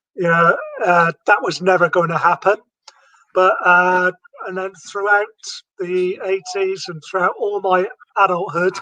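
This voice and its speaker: With a British accent, a man speaks in a raised, projected voice at a high pitch and a fairly slow pace, his intonation monotone and flat, with long, frequent pauses. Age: 50s. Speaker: retired navy veteran and fitness enthusiast. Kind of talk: interview.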